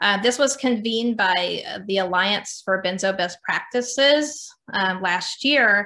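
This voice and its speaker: With a bright, sharp tone, the voice moves at a fairly slow pace with ordinary pitch variation and hardly any pauses. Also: woman, medium pitch for a woman. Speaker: doctor and nonprofit director. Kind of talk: lecture. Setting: video call. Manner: occasional stutter and word-finding pauses.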